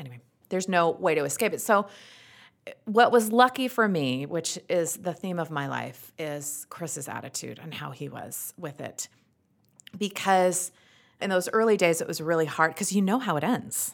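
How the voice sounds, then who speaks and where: A woman with a strong Utah accent speaks at a fairly low pitch. Her pace is moderate. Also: lively intonation, big swings in loudness. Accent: thick Utah. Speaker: actress and radio host. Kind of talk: casual interview chat. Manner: animated, humorous.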